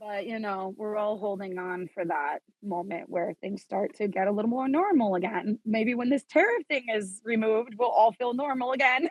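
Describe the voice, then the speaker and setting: Using an ordinary speaking voice, a woman with an American accent talks at a moderate pace with hardly any pauses, her fairly high pitch showing ordinary variation in a dry, close sound with no echo. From New York (Queens, Suffolk County), then New Mexico. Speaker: fashion designer. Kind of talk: podcast interview.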